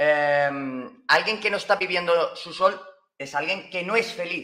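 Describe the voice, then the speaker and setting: A man speaks in a Valencian accent with lively intonation. His tone is bright and sharp. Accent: Spanish from Spain (Valencian). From Spain, Valencia. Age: 20s. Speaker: astrologer. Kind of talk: casual interview. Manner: halting.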